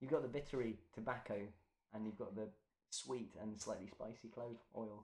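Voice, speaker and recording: Someone in a London accent speaks at a moderate pace with fairly even intonation and long, frequent pauses. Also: man, medium pitch for a man. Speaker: beer taster. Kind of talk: casual chat.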